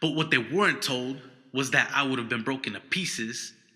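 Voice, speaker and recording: In an ordinary speaking voice, a man speaks at a moderate pace and medium pitch with ordinary pitch variation. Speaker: spoken word poet. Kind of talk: spoken word poetry performance.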